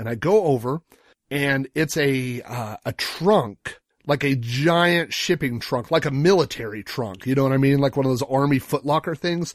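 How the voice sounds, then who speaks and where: A plain, everyday voice from a man, fairly high in pitch, with ordinary pitch variation at a moderate pace, in a dry, close sound with no echo. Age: 40s. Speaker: podcast co-host. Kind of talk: casual chat.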